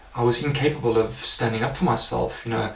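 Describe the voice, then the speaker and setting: A man at a medium pitch speaks at a fairly quick pace, with noticeable background noise and audible room echo. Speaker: life coach. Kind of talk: personal testimony. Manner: casual, many fillers.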